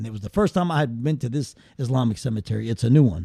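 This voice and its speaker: With an American accent, a man speaks in a dark, mellow, somewhat breathy voice of medium pitch and lively intonation. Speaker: guest. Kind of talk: casual chat.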